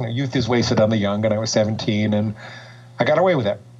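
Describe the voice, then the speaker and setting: Noticeable background noise accompanies a man with an American accent who speaks at a fairly quick pace with fairly even intonation. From New York. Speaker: psychologist and binge eating coach. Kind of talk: podcast interview.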